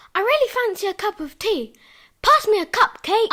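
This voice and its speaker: A squeaky put-on character voice with lively intonation at a moderate pace. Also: woman, extremely high pitch for a woman. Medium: audio drama. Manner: brisk, exasperated.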